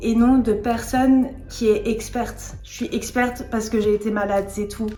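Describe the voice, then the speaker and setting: Over noticeable background noise, a voice with an English accent speaks at a fairly slow pace in a monotone, flat intonation. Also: woman. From France, born in England. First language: English (speaking French). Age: 20s. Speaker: vlogger sharing eating disorder recovery story. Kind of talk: personal testimony vlog.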